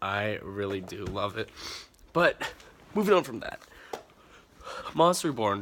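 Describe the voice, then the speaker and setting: A man speaks at a fairly slow pace with lively intonation, breaking often into long pauses. Noticeable background noise runs behind him. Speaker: card game commentator. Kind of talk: casual video commentary. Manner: animated, halting with many fillers.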